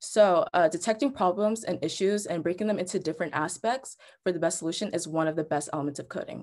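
At a fairly quick pace, a woman speaks with ordinary pitch variation. Behind her the background stays quiet. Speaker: presenter. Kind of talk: tutorial. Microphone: webcam.

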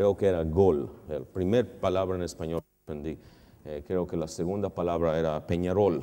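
A man with an English accent speaks at a moderate pace in a very deep, low voice. His tone is dark and mellow, his intonation fairly even. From Canada. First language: English (speaking Spanish). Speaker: finance professor. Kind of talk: lecture. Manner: halting, mixing in English words. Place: hall. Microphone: lapel.

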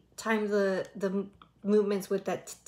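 With music in the background, a woman speaks at a fairly slow pace. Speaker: reaction video host. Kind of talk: commentary. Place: home room. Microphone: earbuds.

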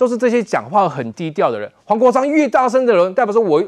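A high-pitched man delivers his words at a fairly quick pace with ordinary pitch variation over a quiet background. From Taiwan. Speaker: political commentator. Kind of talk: political talk show panel. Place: studio.

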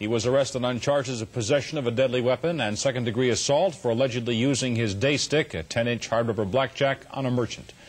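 A man talking at a very fast pace with hardly any pauses, somewhat breathy, with ordinary pitch variation. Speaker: television news anchor. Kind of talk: television news anchor delivery. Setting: 1970s broadcast TV news recording. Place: studio. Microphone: lapel.

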